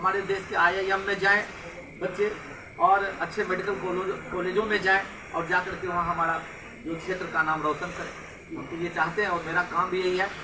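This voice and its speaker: Over noticeable background noise and audible room echo, a man with a high pitch uses a raised, projected voice, talking at a moderate pace in a monotone, flat intonation. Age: young. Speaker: school principal. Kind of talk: interview.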